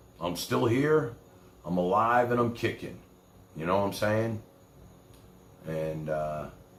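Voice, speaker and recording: A man with a New York accent speaks at a fairly low pitch and a fairly slow pace, with very wide pitch swings. Long, frequent pauses break up his speech, and audible room echo is present. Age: 60s. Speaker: livestream host. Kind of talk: casual chat.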